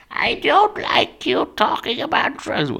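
A female-sounding voice puts on a character voice, pitched high and delivered at a fairly slow pace. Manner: disapproving, scolding.

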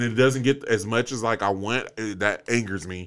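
Captured in a very clean recording with a silent background, a man speaks at a very fast pace in a medium pitch with an animated tone. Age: 30s. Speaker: podcast host. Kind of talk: casual chat.

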